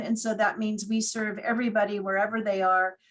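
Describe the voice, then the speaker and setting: Somewhat breathy, a woman's fairly high voice moves at a moderate pace with ordinary pitch variation. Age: 60s. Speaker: hospital chaplain and priest. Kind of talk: seminar talk.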